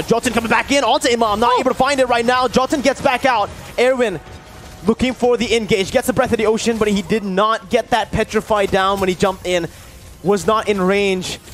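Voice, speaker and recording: Noticeable background noise accompanies fairly quick speech whose pitch varies in an ordinary way. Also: man. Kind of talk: esports shoutcasting. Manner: rapid-fire, excitable play-by-play with sudden exclamations.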